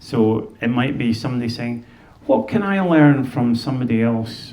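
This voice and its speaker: A man with a Scottish accent speaks at medium pitch in a room with audible echo. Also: ordinary pitch variation, moderate pace. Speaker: fiddler and speaker on Scottish music. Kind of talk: talk to an audience. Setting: museum stage with audience and microphone. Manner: halting, with many repeated words.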